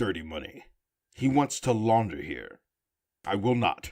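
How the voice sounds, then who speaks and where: A man performs a put-on character voice that sounds raspy. He uses a medium pitch and a moderate pace. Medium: audio drama. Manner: terse, grave.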